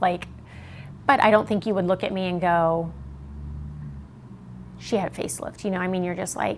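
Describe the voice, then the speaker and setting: Long, frequent pauses within a fairly quick pace. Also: woman. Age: 50s. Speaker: facelift patient. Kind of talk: interview answer. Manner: casual, upbeat.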